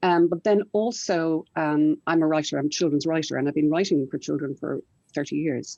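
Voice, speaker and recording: Recorded dry and close with no echo, the voice has a dark, mellow tone and a fairly quick pace. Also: woman. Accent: Irish. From Ireland. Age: 60s. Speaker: children's writer and publisher. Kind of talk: panel discussion.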